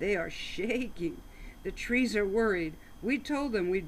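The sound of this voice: Lively intonation in an unforced reading voice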